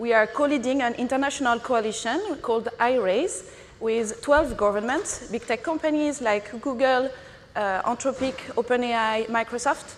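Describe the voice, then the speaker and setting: The speaker has a strong French accent. Delivery is at a moderate pace with ordinary pitch variation. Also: woman, high pitch for a woman. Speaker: non-profit executive director. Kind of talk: conference panel discussion.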